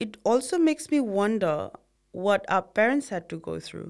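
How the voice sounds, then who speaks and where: Lively intonation and a moderate pace come through on a very clean recording with a silent background. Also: woman. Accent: Nepali. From Bhutanese refugee camps in Nepal. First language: Nepali. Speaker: podcast co-host. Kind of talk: casual scripted conversation. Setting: studio.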